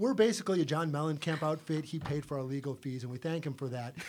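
A man talks at a very fast pace in a fairly high pitch. Noticeable background noise runs behind him. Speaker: punk band member. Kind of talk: casual interview chat.

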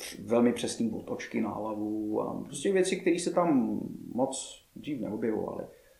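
Audible room echo follows speech delivered fairly slowly. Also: man. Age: 30s. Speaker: martial arts coach. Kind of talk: interview chat.

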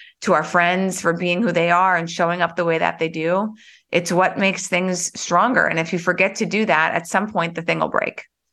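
A woman speaks with an American accent at a moderate pace and a fairly low pitch. Her tone is bright and sharp, her intonation monotone and flat. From US Midwest, Bismarck, North Dakota. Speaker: entrepreneur. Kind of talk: interview.

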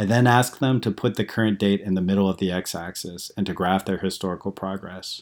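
An ordinary speaking voice at a fairly quick pace, with hardly any pauses, fairly even intonation, and a very clean recording over a silent background. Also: man, fairly low pitch for a man. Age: 40s. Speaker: blogger reading own post. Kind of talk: reading aloud.

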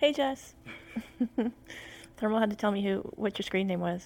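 A soft-spoken woman talks at a moderate pace. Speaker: podcast co-host. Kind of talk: casual chat. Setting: livestream at home. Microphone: too quiet.

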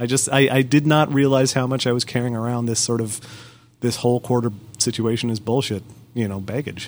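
A man talks with an unremarkable speaking voice at a medium pitch. His pace is fairly quick and his intonation fairly even. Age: 30s. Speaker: podcast host. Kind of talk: casual chat.

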